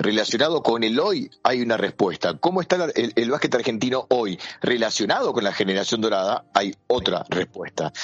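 The speaker keeps a moderate pace with hardly any pauses. The intonation is lively. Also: man, medium pitch for a man, very even loudness. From Argentina. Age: 40s. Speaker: basketball journalist and commentator. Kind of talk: interview. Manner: halting, frequent fillers and repeats.

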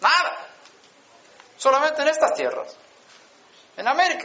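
Man at a moderate pace with ordinary pitch variation, audible room echo and noticeable background noise. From Sweden. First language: Swedish (speaking Spanish). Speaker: preacher. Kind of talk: sermon.

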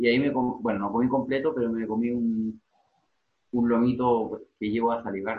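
A man talks at a fairly quick pace in a medium-pitched voice with monotone, flat intonation. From Chile. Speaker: journalist. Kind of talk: casual chat.

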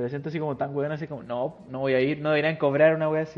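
A man talks in a flat, monotone way. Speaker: podcast host. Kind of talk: casual chat.

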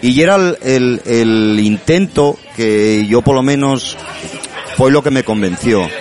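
Crowd noise fills the background as a man speaks at a very slow pace with a medium pitch. His loudness stays very even while his intonation is lively. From Asturias, Avilés. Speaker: language activist. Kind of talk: interview. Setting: bar.

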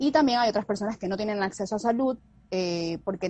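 A woman talks at a fairly quick pace with ordinary pitch variation. It is an unremarkable speaking voice. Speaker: nutritionist. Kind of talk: casual chat. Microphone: unstable internet connection.

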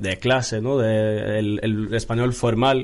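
In a Norwegian accent, a man speaks at a medium pitch and a very slow pace with monotone, flat intonation. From Norway. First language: Norwegian (speaking Spanish). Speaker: Erasmus student. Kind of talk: casual chat.

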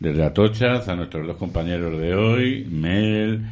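A man is speaking. His tone is dark and mellow. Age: 50s. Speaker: community radio host. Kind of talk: casual radio chat. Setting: radio studio, live broadcast.

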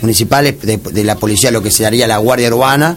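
A man's fairly even intonation and fairly quick delivery come through over noticeable background noise. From Argentina, San Fernando (Buenos Aires). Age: 30s. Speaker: politician, candidate. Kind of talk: radio interview. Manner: halting with repetitions.

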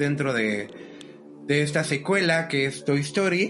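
With music in the background and audible room echo, a man talks fairly slowly at a fairly high pitch. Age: 20s. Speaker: podcast host. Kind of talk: casual chat.

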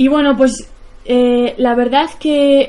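Her voice is high-pitched with a dark, mellow tone, and the woman keeps her intonation fairly even. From Basque Country, Spain (near Bilbao). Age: 20s. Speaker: bicycle traveller and filmmaker. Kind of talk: public talk. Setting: stage with audience. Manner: halting.

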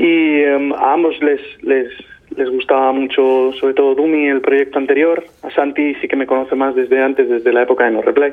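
Noticeable background noise runs under the audio. A man talks with monotone, flat intonation. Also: fairly high pitch for a man, moderate pace. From Spain, Albacete. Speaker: singer-songwriter. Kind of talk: interview. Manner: halting, many repetitions.

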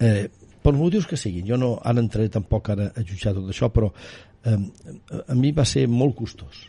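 With lively intonation and a moderate pace, a man speaks at a medium pitch in a dark, mellow, somewhat breathy tone. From Catalonia, Osona countryside. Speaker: politician and baker-businessman. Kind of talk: interview.

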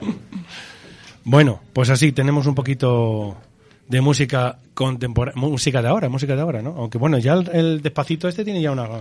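A man speaks at a fairly quick pace in a medium pitch. His voice is somewhat breathy. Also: ordinary pitch variation. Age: 40s. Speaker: radio host and psychologist. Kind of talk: casual group radio show. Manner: animated.

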